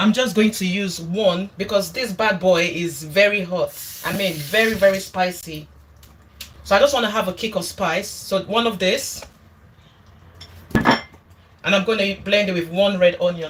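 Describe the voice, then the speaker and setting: Against noticeable background noise, a woman speaks at medium pitch and a fairly slow pace with fairly even intonation. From Nigeria. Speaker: cooking YouTuber. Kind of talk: casual livestream cooking chat.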